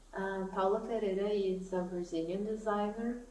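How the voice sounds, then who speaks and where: Speaking with a Portuguese accent, a woman of medium pitch is heard over noticeable background noise and audible room echo. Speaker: knitting YouTuber. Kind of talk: casual vlog talk to camera.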